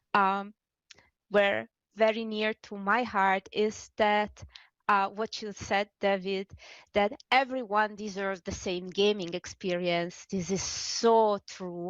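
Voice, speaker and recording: A woman talks at a very slow pace. Her sound is dry and close with no echo. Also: medium pitch for a woman. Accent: non-native. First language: not English. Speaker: game UI developer, accessibility advocate. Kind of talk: panel discussion. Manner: halting, many fillers and restarts.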